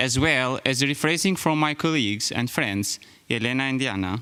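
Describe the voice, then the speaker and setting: With an Albanian accent, a man speaks at a fairly quick pace in a bright, sharp tone, medium pitch and ordinary pitch variation. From Albania (Skrapar, then Tirana). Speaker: graduating student. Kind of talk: speech.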